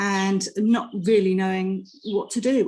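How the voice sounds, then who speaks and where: Her voice dark and mellow, a woman with a British accent speaks in a monotone, flat intonation. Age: 60s. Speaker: patient advocate. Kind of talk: testimony.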